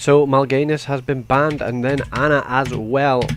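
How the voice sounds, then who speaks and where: This is a man speaking with a Scottish accent. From Scotland. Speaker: esports caster. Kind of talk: live commentary. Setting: live stream.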